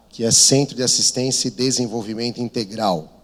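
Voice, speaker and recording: A man speaks in a São Paulo accent. His pitch is medium. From São Paulo, Brazil. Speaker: missionary. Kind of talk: sermon.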